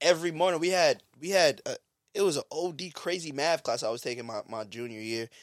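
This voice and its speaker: Lively intonation and a fairly quick pace mark this voice with a New York accent. The recording is very clean with a silent background, and the sound is dry and close with no echo. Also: man, fairly high pitch for a man. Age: 30s. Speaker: podcast co-host. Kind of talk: casual chat. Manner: fast talker.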